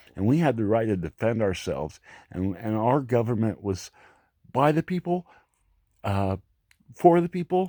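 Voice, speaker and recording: In an American accent, a man with a medium-pitched, dark and mellow voice speaks fairly slowly, his pitch swinging very widely. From Florida, US South. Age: 60s. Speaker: vlogger. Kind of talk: monologue rant. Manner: halting, repetitive.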